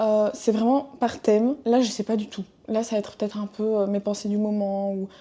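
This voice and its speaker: Against a quiet background, a woman with a fairly high pitch and a dark, mellow tone talks at a moderate pace in a monotone, flat intonation. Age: 20s. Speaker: podcaster. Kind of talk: casual monologue. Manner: hesitant with many fillers.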